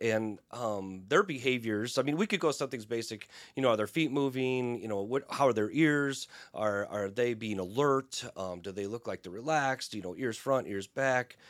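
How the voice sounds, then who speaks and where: Against a very clean recording with a silent background comes a plain, everyday voice at a moderate pace with ordinary pitch variation. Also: man, medium pitch for a man. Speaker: equine therapist. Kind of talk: interview.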